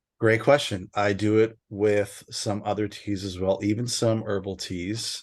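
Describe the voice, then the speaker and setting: A man's fairly low-pitched voice, monotone and flat, at a fairly slow pace over a quiet background. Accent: American. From US West Coast. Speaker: tea teacher. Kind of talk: online workshop Q&A. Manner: halting, self-described mumbling.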